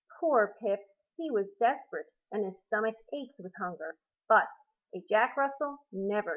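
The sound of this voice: Behind the unforced reading voice, the background is quiet.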